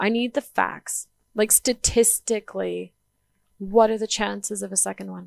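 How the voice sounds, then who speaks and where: In a Canadian accent, a woman speaks at a fairly high pitch with an animated tone, in a dry, close sound with no echo and a very clean recording with a silent background. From Canada, northern British Columbia. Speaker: life coach, abuse survivor. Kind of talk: personal testimony in interview.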